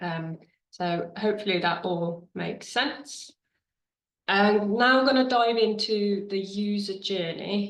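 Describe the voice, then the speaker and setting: Fairly slow speech in a British accent, with ordinary pitch variation. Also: woman. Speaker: webinar presenter on charity marketing. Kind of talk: webinar presentation. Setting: video call. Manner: casual with many fillers.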